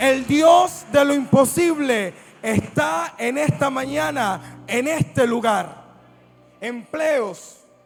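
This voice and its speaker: An animated man with an extremely high pitch and very wide pitch swings, over noticeable background noise. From Colombia, Buenaventura (Pacific coast). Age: young. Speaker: pastor. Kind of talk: sermon. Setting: church service with congregation.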